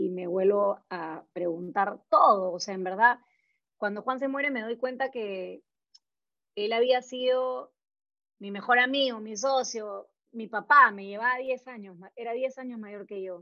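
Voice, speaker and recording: Speaking at a fairly slow pace, a woman with a fairly high voice shows ordinary pitch variation and big swings in loudness. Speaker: entrepreneur, graphic designer. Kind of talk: interview testimony. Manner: halting.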